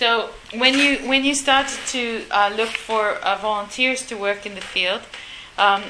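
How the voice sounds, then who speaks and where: Against noticeable background noise, a woman talks at a fairly slow pace with a fairly high pitch and ordinary pitch variation. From Uganda. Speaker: interviewer and marine biologist. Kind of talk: casual interview. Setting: on location at turtle rescue center, outdoors.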